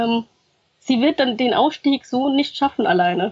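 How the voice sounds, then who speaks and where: At a moderate pace, a woman speaks with high pitch. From grew up in Germany after arriving as a refugee. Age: 30s. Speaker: former sex worker and activist, student. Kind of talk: interview testimony.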